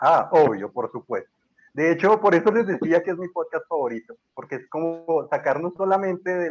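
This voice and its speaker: Recorded dry and close with no echo, a man with a Bogotá accent speaks in a high pitch at a fairly quick pace. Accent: Bogotá Colombian (rolo). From Colombia, Bogotá. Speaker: historian and university lecturer. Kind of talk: casual podcast interview. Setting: remote call from Colombia.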